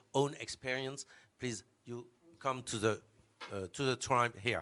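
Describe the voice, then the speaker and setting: A man speaks with a French accent. His tone is bright and sharp, with ordinary pitch variation. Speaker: conference moderator. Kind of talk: moderating. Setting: conference room with audience. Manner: hesitant.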